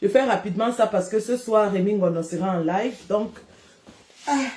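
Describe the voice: A woman speaks at a moderate pace in a medium pitch with ordinary variation and a slightly mellow tone.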